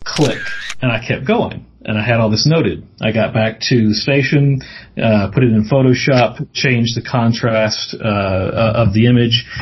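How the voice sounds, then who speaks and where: A man with an American accent speaks at a medium pitch, somewhat breathy. His pace is fairly slow and his intonation fairly even. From US South, Mississippi. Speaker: paranormal TV producer, journalist. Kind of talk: casual interview.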